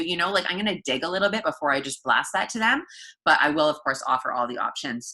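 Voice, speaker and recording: At a very fast pace, a woman with a fairly low pitch talks in a bright, sharp tone with lively intonation. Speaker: fitness coach team leader. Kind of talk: team training call. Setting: group call.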